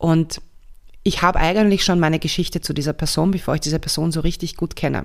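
A woman speaks very fast with a fairly low pitch. Her intonation is monotone and flat. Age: 40s. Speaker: somatic coach and podcast host. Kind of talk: casual solo monologue. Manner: hesitant fillers, self-correcting.

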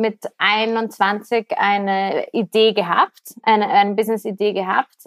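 A woman with a fairly high-pitched voice talks at a very slow pace. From Austria, Vienna. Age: 30s. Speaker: business podcast host and entrepreneur. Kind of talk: podcast intro monologue; casual interview chat.

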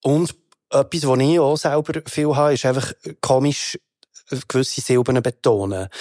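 A man with a Bernese accent, his dark, mellow tone at a fairly high pitch, moderate pace broken by long, frequent pauses, very even loudness, and dry, close sound with no echo. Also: ordinary pitch variation. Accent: Bernese Swiss German. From Switzerland, Bern. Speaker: rapper. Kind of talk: casual chat. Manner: animated.

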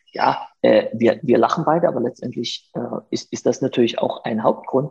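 A man speaks with ordinary pitch variation. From Saxony, Germany (Chemnitz). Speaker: lawyer. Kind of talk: casual interview. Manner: halting, many fillers.

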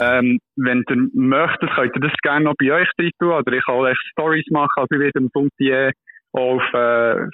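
A normal speaking voice, a man at medium pitch and moderate pace with fairly even intonation. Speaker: doctoral researcher. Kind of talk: casual interview explaining a study. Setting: phone call. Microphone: poor phone line, hard to hear.

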